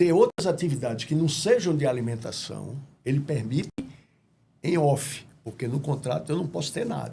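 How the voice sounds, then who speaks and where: A man's fairly high voice with a dark, mellow tone and vocal fry, lively intonation, at a moderate pace. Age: 70s. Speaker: businessman, restaurant franchisee. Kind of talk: interview.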